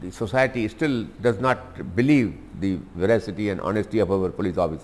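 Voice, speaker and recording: At a moderate pace, a man does the talking. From India. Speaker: lawyer and politician. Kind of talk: interview answer. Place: home room. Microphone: lapel.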